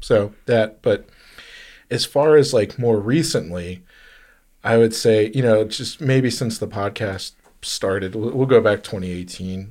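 On a very clean recording with a silent background, a man with a plain, everyday voice speaks at medium pitch and a fairly slow pace, with ordinary pitch variation. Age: 30s. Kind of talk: casual chat.

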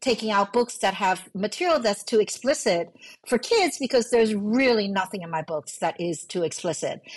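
A woman speaks at a moderate pace with a Chinese accent. Her pitch sits fairly high. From New York City, raised from age five after emigrating from Hong Kong. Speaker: novelist. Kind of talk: casual interview chat.

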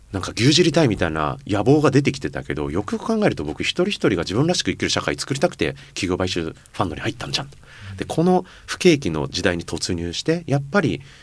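Delivered very fast, the talking leaps through very wide pitch swings. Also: man, fairly low pitch for a man. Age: 40s. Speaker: company founder and chairman. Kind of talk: casual interview.

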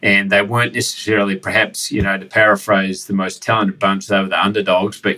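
Here a man speaks with a New Zealand accent at a fairly low pitch. His tone is bright and sharp, and his intonation fairly even. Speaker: podcast host. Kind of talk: interview conversation. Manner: casual.

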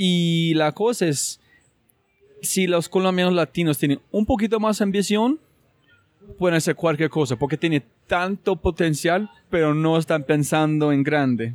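A man's high-pitched voice at very even loudness, with ordinary pitch variation and a dry, close sound with no echo. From United States. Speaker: podcast host. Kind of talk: interview conversation.

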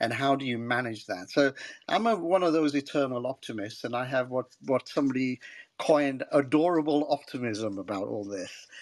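In a very clean recording with a silent background, a man with an unremarkable speaking voice talks at a moderate pace in a medium pitch, with ordinary pitch variation. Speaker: tech consultant. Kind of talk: panel discussion. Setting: live audio chat room.

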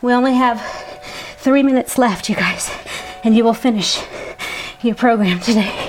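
A woman's high voice at a moderate pace, very even in loudness, with long, frequent pauses over noticeable background noise. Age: 40s. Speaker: fitness instructor and faith podcast host. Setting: studio recording over workout music. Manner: animated.

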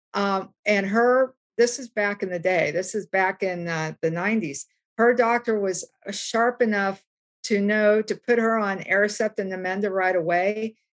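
A woman with an American accent speaks in an ordinary speaking voice at a fairly slow pace, her medium pitch held to fairly even intonation in a dry, close sound with no echo. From US South, West Virginia. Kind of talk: panel discussion. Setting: video call from home.

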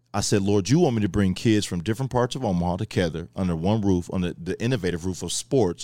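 Man with an American accent, fairly low pitch, ordinary pitch variation and a very fast pace, on a very clean recording with a silent background. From Kansas City. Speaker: former college football player, sports trainer. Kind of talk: casual interview.

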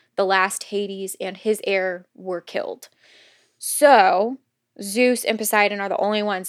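This is a woman with a plain, everyday voice at a medium pitch, talking at a moderate pace. Her intonation is fairly even, and the sound is dry and close with no echo. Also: very clean recording, silent background. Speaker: podcast host. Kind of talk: casual chat.

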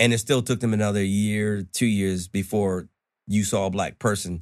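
A man with an American accent and a normal speaking voice, fairly low in pitch, talks at a moderate pace in a very clean recording with a silent background. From New York. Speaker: chef. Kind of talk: casual chat.

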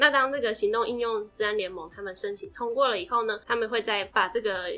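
A woman talks at a very fast pace. Her tone is bright and sharp, with ordinary pitch variation. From Taiwan. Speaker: podcast host. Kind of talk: casual educational chat.

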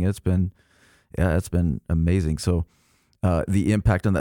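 Recorded very cleanly over a silent background, a man speaks at a moderate pace, his dark, mellow tone dry and close with no echo. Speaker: podcast co-host. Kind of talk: interview, casual conversation.

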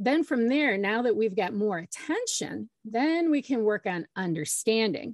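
A woman with fairly high pitch and lively intonation speaks at a moderate pace in an unremarkable speaking voice. The sound is dry and close with no echo, over a quiet background. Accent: American. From Michigan. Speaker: parent educator and social worker. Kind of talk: interview.

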